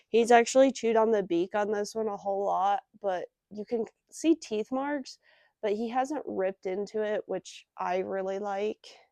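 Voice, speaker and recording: Her voice is fairly high for a woman, dark and mellow, with ordinary pitch variation. The sound is dry and close with no echo over a quiet background. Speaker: pet product reviewer. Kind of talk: casual product review vlog. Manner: soft-spoken; hesitant, filler-heavy. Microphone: new external microphones with phone.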